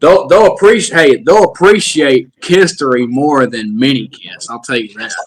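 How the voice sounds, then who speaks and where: In a Southern US accent, a man speaks at a fairly high pitch with hardly any pauses, very wide pitch swings and big swings in loudness. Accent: southern drawl. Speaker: musician in a tribute band. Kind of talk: casual interview chat. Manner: halting, many repetitions.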